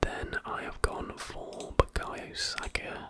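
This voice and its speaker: Over noticeable background noise, a person whispers. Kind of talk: ASMR whispered talk about fantasy football. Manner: whispered, soft-spoken.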